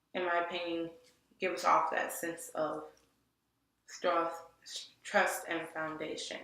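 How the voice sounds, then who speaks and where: A woman with an American accent speaks at a fairly low pitch in a space with audible room echo. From Detroit area, Michigan. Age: 20s. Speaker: graphic design student. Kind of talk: portfolio presentation. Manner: halting, many restarts and fillers.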